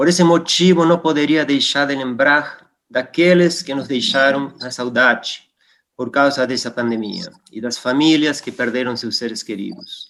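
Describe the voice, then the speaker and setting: Speaking at a fairly slow pace, a man with a Spanish accent has a fairly high pitch and ordinary pitch variation. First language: Spanish (speaking Portuguese). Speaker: geologist and academic. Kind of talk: formal induction speech. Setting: virtual session. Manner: formal.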